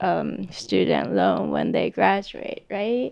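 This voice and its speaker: A woman's voice with a Japanese accent. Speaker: illustrator and art instructor. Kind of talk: panel discussion. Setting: live event venue.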